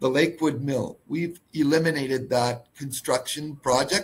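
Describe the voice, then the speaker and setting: This man's voice is pitched fairly high. It is somewhat breathy. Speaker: mining company executive. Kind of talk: corporate webinar presentation.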